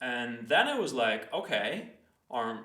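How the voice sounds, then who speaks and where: A man with a non-native accent, amid audible room echo. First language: not English. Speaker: educational video host. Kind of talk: casual explainer monologue. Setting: recording himself in front of a camera. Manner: hesitant, with fillers and restarts.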